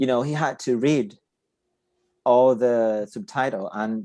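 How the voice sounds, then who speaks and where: With a Portuguese accent, a man speaks fairly slowly in a medium-pitched, dark, mellow tone against a quiet background. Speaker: podcast host. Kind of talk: casual chat. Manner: halting.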